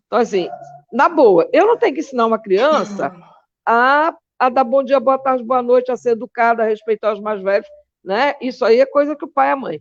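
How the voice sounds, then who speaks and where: Using a high pitch with ordinary pitch variation, a woman talks at a moderate pace. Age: 60s. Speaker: philosophy teacher and activist. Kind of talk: interview. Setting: live online show. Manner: animated.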